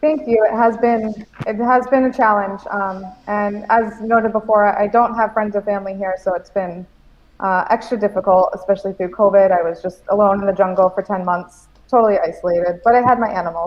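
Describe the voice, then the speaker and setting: A woman with an American accent speaks at a fairly quick pace in a normal speaking voice. Her pitch is medium and her intonation fairly even. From USA. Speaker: animal sanctuary owner. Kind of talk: casual chat. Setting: livestream.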